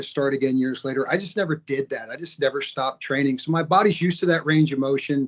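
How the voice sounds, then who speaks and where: A man with an unremarkable speaking voice talks fairly fast at a fairly high pitch. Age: 50s. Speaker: martial arts fighter and school owner. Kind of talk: interview.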